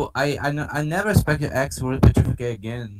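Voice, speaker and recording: A man speaks with a Portuguese accent at a moderate pace. His pitch is medium. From Brazil. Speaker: podcast panelist. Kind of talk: casual chat. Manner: halting, repetitive.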